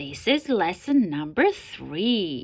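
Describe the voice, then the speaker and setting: Putting on a character voice, a woman at medium pitch speaks with very wide pitch swings. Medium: read story. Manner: self-assured, lecturing.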